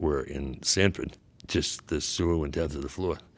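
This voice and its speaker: The voice carries noticeable vocal fry. Its pitch varies in an ordinary way. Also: man. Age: 70s. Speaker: river conservationist. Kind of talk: interview conversation. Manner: halting.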